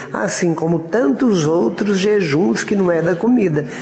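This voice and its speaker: Noticeable background noise and audible room echo surround the man as he speaks. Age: 70s. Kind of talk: informal preaching talk. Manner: conversational, colloquial.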